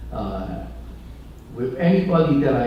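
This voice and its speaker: Someone with a Chinese accent speaks amid noticeable background noise and audible room echo. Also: man. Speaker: pastor. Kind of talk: conference talk. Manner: halting, many fillers.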